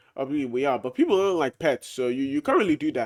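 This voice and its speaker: A man talks in a fairly high pitch with an animated tone and lively intonation. The recording is very clean, with a silent background. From Britain. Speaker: Discord debate streamer. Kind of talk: casual monologue. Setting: at home, downstairs.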